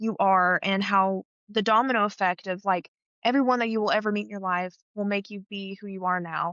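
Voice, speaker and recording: Speaking at a moderate pace in an Appalachian accent, a woman keeps a medium pitch and fairly even intonation. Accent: Appalachian Southern US. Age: 20s. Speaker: scholarship recipient, theater student. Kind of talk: interview.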